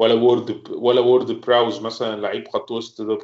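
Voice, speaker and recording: A man is speaking here. His pace is fairly quick. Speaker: football fan pundit. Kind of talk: casual chat.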